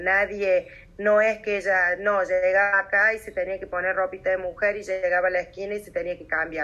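A woman talks in a monotone, flat intonation at a medium pitch, keeping a moderate pace. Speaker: victim's sister. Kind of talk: testimony.

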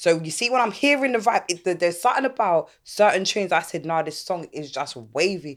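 Speech in a London accent moves at a fairly quick pace with very wide pitch swings and hardly any pauses. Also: woman, fairly low pitch for a woman, very clean recording, silent background. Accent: London Multicultural English. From London, Catford, South East. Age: 30s. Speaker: podcast host. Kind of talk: casual chat.

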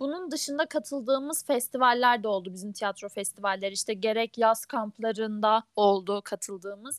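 Hardly any pauses, with dry, close sound, no echo, and a very clean recording over a silent background. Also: woman, fairly high pitch for a woman, ordinary pitch variation, moderate pace. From Ankara, Turkey. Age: 20s. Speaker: engineering student, theatre club member. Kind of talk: casual chat.

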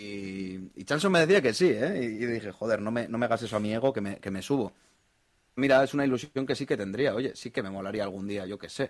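In a normal speaking voice, a man of medium pitch talks fairly quickly with ordinary pitch variation on a very clean recording with a silent background. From Spain, Basque Country (Bilbao). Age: 30s. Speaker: investor. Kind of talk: casual chat.

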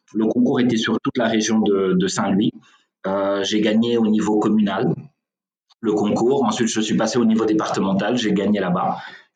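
A man talks at a moderate pace with a fairly low pitch, monotone, flat intonation and very even loudness. Long, frequent pauses break his speech, and the room echo is audible. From Senegal. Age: 30s. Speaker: real estate executive. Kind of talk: interview. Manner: hesitant with fillers.

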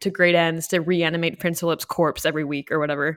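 On a very clean recording with a silent background, a woman with a fairly low pitch speaks very fast. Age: 20s. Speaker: podcast co-host. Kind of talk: casual chat. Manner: animated.

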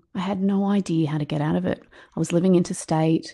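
A woman speaks in an Australian accent at a fairly quick pace. Her voice is fairly low in pitch, with a dark, mellow tone. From rural New South Wales, Australia. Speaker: author and keynote speaker. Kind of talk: interview, storytelling.

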